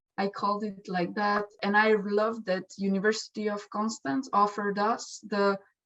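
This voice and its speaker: A woman with a Slovenian accent speaks at a moderate pace with hardly any pauses. Her medium-pitched voice keeps a fairly even intonation. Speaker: exchange student. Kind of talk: testimonial interview. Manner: halting, with fillers.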